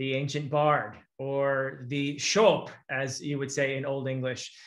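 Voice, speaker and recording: Against a quiet background, a man with a fairly high pitch and a bright, sharp tone speaks at a fairly slow pace. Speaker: literature academic and video host. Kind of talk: casual discussion. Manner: animated. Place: home room. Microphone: video call.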